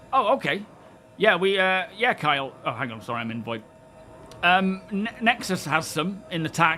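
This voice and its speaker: A man speaks in a high pitch at a moderate pace, his pitch swinging very widely. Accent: English. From England, Northamptonshire. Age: 40s. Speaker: gaming streamer. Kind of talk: casual live stream chat. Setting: live stream. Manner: relaxed, hesitant with fillers.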